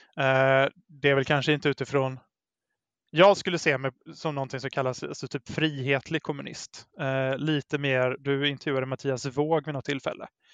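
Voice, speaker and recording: The recording has a dry, close sound with no echo and a quiet background. A man talks at a moderate pace with a fairly high pitch and monotone, flat intonation. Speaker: guest, Facebook group admin. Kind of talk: casual conversation.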